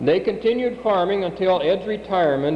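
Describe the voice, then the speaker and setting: A man with an American accent and lively intonation at a moderate pace, amid noticeable background noise and audible room echo. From US Midwest (South Dakota). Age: 50s. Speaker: family member giving family history. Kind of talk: reading aloud.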